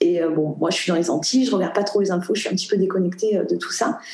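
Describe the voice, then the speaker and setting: A woman talks with lively intonation. The room echo is audible and the background noise is noticeable. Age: 30s. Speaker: yoga dance trainer and entrepreneur. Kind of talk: interview conversation.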